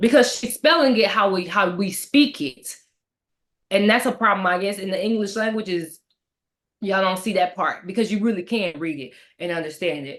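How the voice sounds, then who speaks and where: A woman's animated, medium-pitched voice with lively intonation, an American accent and a moderate pace. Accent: Southern accent noticed by others. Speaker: book discussion co-host. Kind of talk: casual chat.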